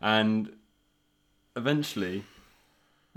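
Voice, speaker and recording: Speaking with a southern English accent, a man holds a fairly even intonation at a medium pitch. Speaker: podcast host. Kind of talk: casual chat.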